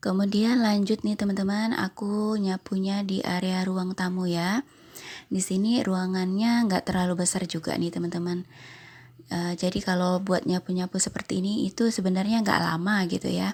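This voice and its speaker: Somewhat breathy, a woman speaks at a medium pitch and a moderate pace with fairly even intonation. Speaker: homemaker vlogger. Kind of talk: voice-over narration. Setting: home. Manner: casual.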